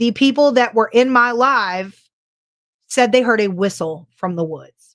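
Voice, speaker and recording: On a very clean recording with a silent background, a woman talks at a fairly slow pace, her high voice carrying lively intonation. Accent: Californian. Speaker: paranormal podcast co-host. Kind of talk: casual chat. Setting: live stream.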